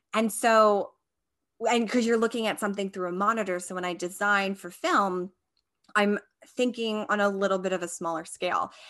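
Against a quiet background, a woman with medium pitch talks at a moderate pace in an unremarkable speaking voice with fairly even intonation. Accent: American. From Long Island, New York. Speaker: costume designer, podcast co-host. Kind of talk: casual interview chat.

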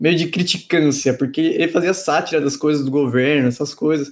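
A man speaks with a fairly high pitch. He has an unremarkable speaking voice and a moderate pace. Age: 20s. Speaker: podcast co-host. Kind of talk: casual chat.

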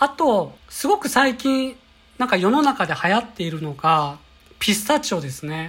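Her medium-pitched voice swings very widely in pitch as this woman talks at a moderate pace. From Kyoto. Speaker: company employee, bread enthusiast. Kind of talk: monologue podcast, recommendations. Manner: polite, formal.

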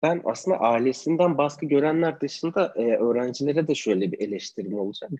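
A man with a fairly high pitch and a dark, mellow tone speaks at a fairly quick pace with lively intonation and hardly any pauses. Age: 20s. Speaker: photographer. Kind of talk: online interview. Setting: video call.

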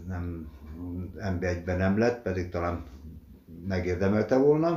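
A man's very deep, low voice, dark and mellow in tone, somewhat breathy, at a very slow pace, with audible room echo. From Hungary, Dorog (Komárom-Esztergom county). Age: 60s. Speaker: retired footballer and museum guide. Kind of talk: interview, reminiscing about career. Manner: halting, many fillers.

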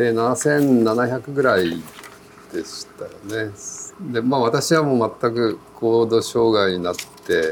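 Amid noticeable background noise, a man of medium pitch speaks at a very slow pace with ordinary pitch variation. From Japan, Kumamoto (Kyushu). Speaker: veteran mountaineer and trail runner. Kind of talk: interview. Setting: cafe.

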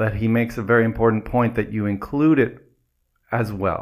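The speaker has a normal speaking voice with ordinary pitch variation and a moderate pace. The recording is very clean, with a silent background. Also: man. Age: 40s. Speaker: podcast co-host and mindset coach. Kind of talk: casual chat.

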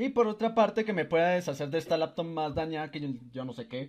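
This man has a normal speaking voice, pitched fairly high. He talks at a fairly quick pace with lively intonation. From Colombia. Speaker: podcast host. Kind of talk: casual chat. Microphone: echo from the microphone.

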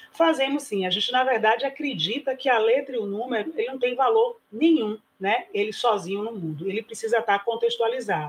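A woman with an unremarkable speaking voice, fairly high in pitch, at a fairly quick pace with lively intonation and hardly any pauses. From Bahia, Brazil. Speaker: preschool principal. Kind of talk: online panel discussion.

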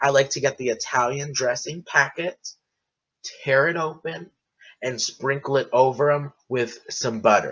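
A man talks in an animated tone at a fairly slow pace. His pitch is fairly high, with ordinary pitch variation. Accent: American. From United States. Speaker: podcaster. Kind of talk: casual solo podcast monologue. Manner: animated, chatty; loud.

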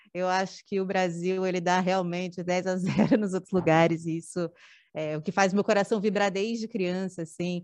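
Against a quiet background, a woman speaks in a monotone, flat intonation. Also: medium pitch for a woman, moderate pace. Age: 30s. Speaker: performing artist, dancer and drag king. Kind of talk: casual chat. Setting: studio.

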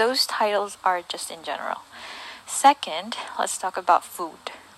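Speaking fairly slowly, a woman is heard against noticeable background noise. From southern Philippines. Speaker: guest speaking about her culture. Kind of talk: prepared talk.

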